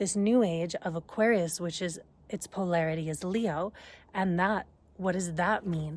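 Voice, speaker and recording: Using an ordinary speaking voice, a woman talks at a moderate pace with a fairly low pitch and ordinary pitch variation. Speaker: astrologer and energy healer. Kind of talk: casual talk to camera. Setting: outdoors. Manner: conversational, spiritual.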